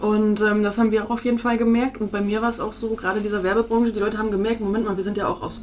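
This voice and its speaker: A woman with a medium pitch talks at a very fast pace. Noticeable background noise runs underneath. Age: 30s. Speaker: social media marketer and photographer. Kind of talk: interview.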